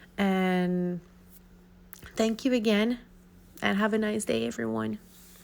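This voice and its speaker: A woman speaks at a moderate pace with a non-native accent. The recording is very clean, with a silent background. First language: not English. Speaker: art YouTuber. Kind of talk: casual tutorial outro. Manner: halting.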